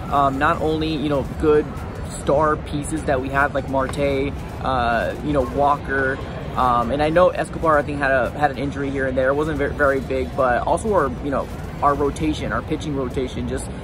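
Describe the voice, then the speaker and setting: Over clear music in the background, a man talks at a moderate pace with ordinary pitch variation in a dry sound with no echo. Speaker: sports fan vlogger. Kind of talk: casual vlog chat. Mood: relaxed, mildly disappointed. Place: stadium. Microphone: phone near.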